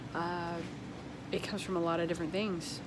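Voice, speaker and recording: The speech is monotone, with flat intonation, and carries audible room echo. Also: woman. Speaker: small business owner and vlogger. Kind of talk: casual vlog monologue. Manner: fast.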